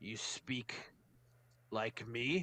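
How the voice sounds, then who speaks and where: A man in a put-on character voice at a medium pitch. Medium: actual play. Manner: curt, simple, blunt speech.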